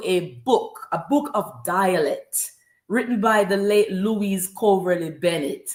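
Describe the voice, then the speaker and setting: A woman with a Jamaican accent, fairly high in pitch with lively intonation, in a very clean recording with a silent background. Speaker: spoken word poet. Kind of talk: interview. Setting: live stream.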